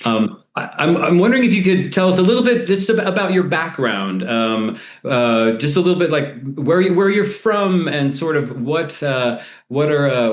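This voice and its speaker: The man speaks at a moderate pace with an American accent and very wide pitch swings. Audible room echo surrounds his voice. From US West Coast. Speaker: theatre podcast host. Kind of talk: interview. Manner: halting, many fillers.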